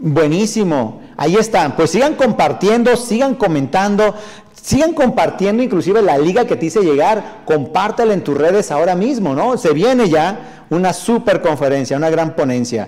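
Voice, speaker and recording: Animated and high-pitched, a man talks at a moderate pace with very wide pitch swings, hardly any pauses, and very even loudness. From northern Mexico. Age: 40s. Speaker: motivational speaker and sales trainer; motivational speaker, sales trainer. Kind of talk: live stream talk reading viewer comments. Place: studio.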